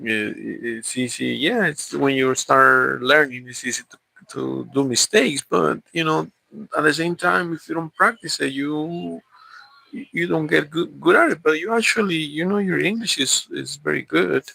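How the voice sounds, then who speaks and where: With a Spanish accent, a man talks in a dry, close sound with no echo. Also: moderate pace. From Mexico. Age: 40s. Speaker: vlogger. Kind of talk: casual chat. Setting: livestream. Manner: halting, many repeats and fillers.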